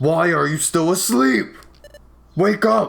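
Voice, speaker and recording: A man shouts loudly in a put-on character voice. His pitch is high. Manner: shouting.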